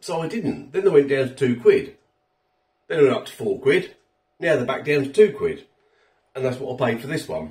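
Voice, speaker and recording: Somewhat breathy, a man speaks at a fairly quick pace with big swings in loudness against a quiet background. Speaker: food reviewer. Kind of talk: casual food review vlog. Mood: cheerful, relaxed. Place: kitchen. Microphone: phone near.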